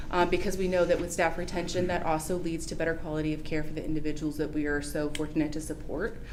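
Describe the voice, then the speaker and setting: Flat, monotone speech comes at a very fast pace with hardly any pauses, with audible room echo and noticeable background noise. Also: woman, very deep, low pitch for a woman. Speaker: nonprofit agency representative. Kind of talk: agency update presentation at public meeting.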